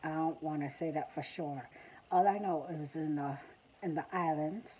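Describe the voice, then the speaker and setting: The voice has a dark, mellow tone and fairly even intonation in a Southern US accent. Light background noise can be heard. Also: woman. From South Carolina. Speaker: vlogger. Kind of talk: casual vlog monologue. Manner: halting, many fillers. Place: home room. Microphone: phone near.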